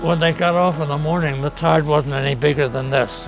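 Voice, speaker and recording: A man with an American accent at a fairly high pitch and fairly quick pace, with fairly even intonation, audible room echo and music in the background. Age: 80s+. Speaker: war veteran. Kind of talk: casual chat. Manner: halting.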